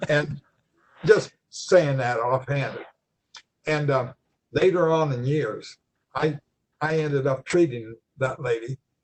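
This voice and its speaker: With an American accent, a man speaks very slowly in a fairly high, somewhat breathy voice, using ordinary pitch variation and long, frequent pauses. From eastern Ohio, New Philadelphia. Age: 80s+. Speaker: retired chiropractor. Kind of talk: interview, personal reminiscence. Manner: halting, many fillers and repeats.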